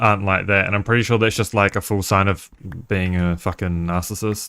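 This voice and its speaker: A man talks at a fairly quick pace with a slight New Zealand accent. His pitch is fairly low, with ordinary pitch variation. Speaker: game streamer. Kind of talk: casual chat. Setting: live stream. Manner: halting.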